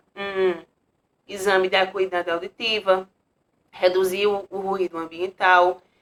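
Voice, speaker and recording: A woman's medium-pitched voice at a very slow pace. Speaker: teacher. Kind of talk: lecture.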